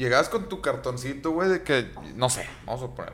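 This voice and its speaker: A man talks in a plain, everyday voice, keeping a moderate pace and ordinary pitch variation. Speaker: podcast host. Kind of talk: casual chat.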